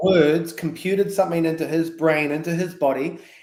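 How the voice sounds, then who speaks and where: Speaking at a moderate pace, a man uses an ordinary speaking voice pitched fairly high. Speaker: coach and filmmaker. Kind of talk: interview answer.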